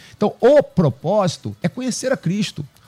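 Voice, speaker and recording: A man speaks in a dark, mellow tone that is somewhat breathy, with lively intonation. The sound is dry and close, with no echo. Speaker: pastor. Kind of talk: panel discussion on faith. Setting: radio studio with cameras.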